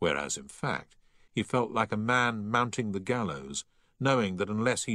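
A natural voice, reading aloud.

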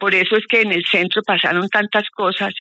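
A woman talks at a moderate pace in a bright, sharp tone with fairly even intonation, and the sound is dry and close with no echo.

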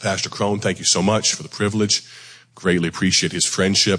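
A man talks at a fairly quick pace in a low, raspy voice with a fairly bright tone and fairly even intonation.

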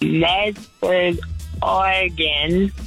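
A put-on character voice sits at a middle pitch. Faint music plays in the background.

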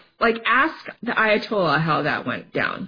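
A woman speaks at a fairly slow pace, her pitch swinging widely up and down.

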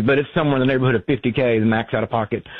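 His pitch sits in the medium range. This man's pitch varies in an ordinary way.

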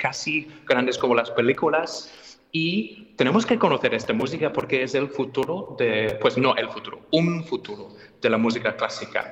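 With a slightly husky edge and a fairly bright tone, a man speaks at a medium pitch with ordinary pitch variation.

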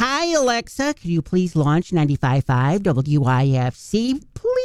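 This put-on character voice comes in a Wisconsin accent at middle pitch. The pace is very slow. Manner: polite, folksy.

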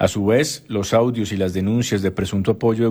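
The voice has a dark, mellow tone. It moves at a fairly quick pace with fairly even intonation. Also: man.

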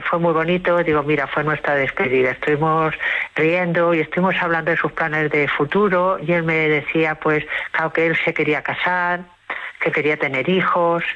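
A woman with a low pitch speaks with fairly even intonation and few pauses. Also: moderate pace.

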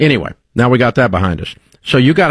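A man is speaking at a medium pitch. His pace is fairly quick.

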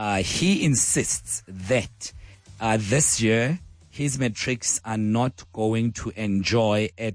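A man speaks with a fairly low pitch. His pitch variation is ordinary.

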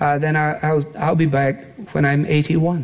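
Speech moves at a fairly slow pace, with audible room echo around it. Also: man.

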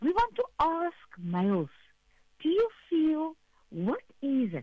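Speaking slowly, a woman keeps a high pitch with very wide pitch swings.

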